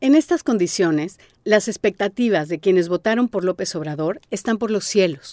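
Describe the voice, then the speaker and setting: Against a quiet background, a woman's voice comes through with a dark, mellow tone. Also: medium pitch for a woman, lively intonation, moderate pace, dry, close sound with no echo. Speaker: podcast host and narrator. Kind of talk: scripted narration.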